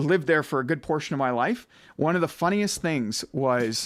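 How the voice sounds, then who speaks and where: A man with an Ottawa Valley accent is heard in a very clean recording with a silent background. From Ottawa Valley, Ontario, Canada. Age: 40s. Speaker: podcast host. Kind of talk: casual chat.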